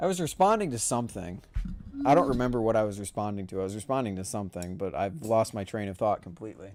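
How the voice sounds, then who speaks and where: A man's fairly low voice at a very fast pace with ordinary pitch variation, music in the background. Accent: American. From United States. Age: young. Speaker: streamer. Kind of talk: casual chat. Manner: animated; loud, projecting into mic.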